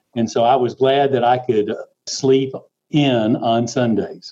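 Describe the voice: A man's medium pitch with a dark, mellow tone, fairly even intonation and a slow pace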